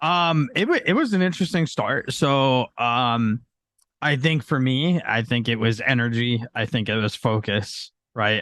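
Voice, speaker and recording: With an ordinary speaking voice, a man talks at medium pitch with ordinary pitch variation, his sound dry and close with no echo and the background quiet. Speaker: football podcast guest. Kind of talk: casual podcast discussion.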